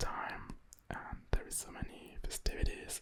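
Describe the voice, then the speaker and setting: A man's whisper at a fairly slow pace. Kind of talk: ASMR chit-chat. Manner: whispered.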